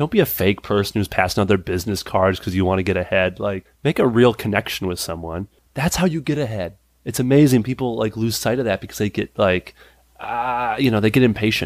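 In a very clean recording with a silent background, a man with an unremarkable speaking voice talks fairly quickly at a fairly low pitch, with ordinary pitch variation. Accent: American. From Minnesota, US Midwest. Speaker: character actor and improviser. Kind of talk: casual interview chat.

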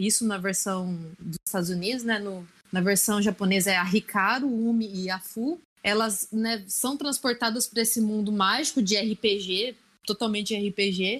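Against a quiet background, a woman talks at a fairly slow pace in an ordinary speaking voice with ordinary pitch variation. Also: medium pitch for a woman. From Brazil, Assis (São Paulo state). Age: 30s. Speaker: podcast guest. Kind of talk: casual chat.

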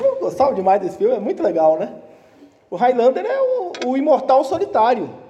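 With noticeable background noise behind him, a man speaks fairly quickly at an extremely high pitch, his voice making very wide pitch swings. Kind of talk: sermon.

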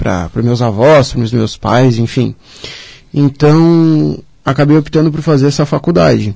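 A man's somewhat breathy, dark and mellow voice at medium pitch, fairly slow in pace, with ordinary pitch variation. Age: 20s. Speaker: civil engineer. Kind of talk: radio interview. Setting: radio studio, also streamed live on social media.

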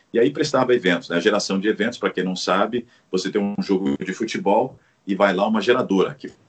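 Here a man has a plain, everyday voice with a fairly low pitch. His pace is fairly quick. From Paraná, Brazil. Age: 50s. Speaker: sports commentator. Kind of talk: interview.

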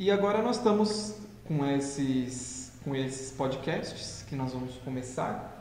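Lively intonation from a man with a medium pitch, at a very slow pace, with noticeable background noise and audible room echo. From interior of São Paulo state, Brazil (José Bonifácio). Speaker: pastry business partner, educator. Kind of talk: casual chat. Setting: live stream.

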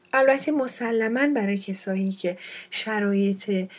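A woman speaks at a very slow pace in a medium pitch. Her voice is somewhat breathy, with ordinary pitch variation. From Iran, Fars province. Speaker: podcast host. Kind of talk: personal storytelling monologue.

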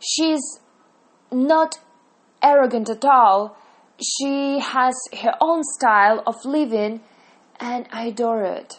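A woman with a Russian accent speaks in a high pitch with ordinary pitch variation. Her pace is very slow, broken by long, frequent pauses. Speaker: podcaster reviewing TV series. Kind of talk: monologue review. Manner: halting, many fillers and self-corrections.

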